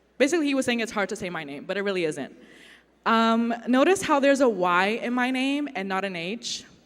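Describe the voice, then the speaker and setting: With audible room echo, a woman with a fairly high pitch talks at a fairly quick pace, her pitch swinging very widely. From China, Uyghur family. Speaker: artist. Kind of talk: conference talk.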